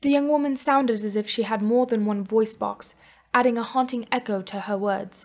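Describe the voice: Plain reading aloud with pitch that shifts an ordinary amount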